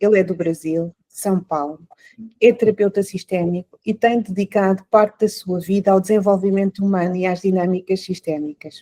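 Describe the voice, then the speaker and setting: Dark and mellow in tone, a woman speaks at a medium pitch and moderate pace with fairly even intonation, in a dry, close sound with no echo. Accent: European Portuguese. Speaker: podcast host. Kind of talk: interview. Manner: hesitant, many fillers.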